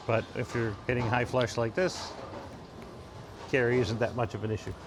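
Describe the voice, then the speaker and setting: A man's medium-pitched voice at a moderate pace, fairly even in intonation, with noticeable background noise. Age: 60s. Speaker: bowling coach. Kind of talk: ball review commentary.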